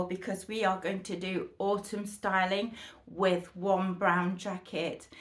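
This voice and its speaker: This is a woman with a British accent. Her pitch sits in the medium range. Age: 60s. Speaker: fashion vlogger. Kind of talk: try-on haul chat. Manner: chatty, enthusiastic.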